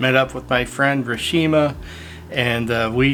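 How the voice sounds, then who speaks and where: Medium pitch from a man, at a fairly slow pace with fairly even intonation, over noticeable background noise. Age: 60s. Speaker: photographer and video creator. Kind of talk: casual vlog talk to camera. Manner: casual with many fillers.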